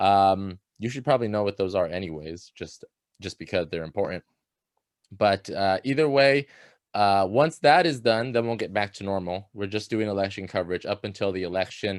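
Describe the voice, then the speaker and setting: Here a man talks at a moderate pace with a fairly low pitch and ordinary pitch variation. The sound is dry and close with no echo, on a very clean recording with a silent background. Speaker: student newspaper editor. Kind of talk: staff meeting briefing. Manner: loud; casual with many fillers.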